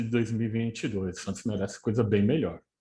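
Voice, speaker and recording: A man talks at a medium pitch, his intonation fairly even and his tone somewhat breathy. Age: 60s. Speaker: football historian and teacher. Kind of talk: podcast interview.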